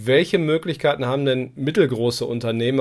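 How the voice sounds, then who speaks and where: Ordinary pitch variation marks this man's speech on a very clean recording with a silent background. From East Westphalia, Germany. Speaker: podcast host. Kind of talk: news commentary; interview.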